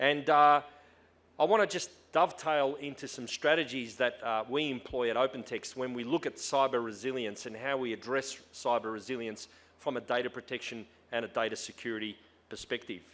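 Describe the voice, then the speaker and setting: A man speaks with an Australian accent at a medium pitch. His pace is fairly quick. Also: ordinary pitch variation. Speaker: tech company executive. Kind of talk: conference talk. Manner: hesitant, many fillers.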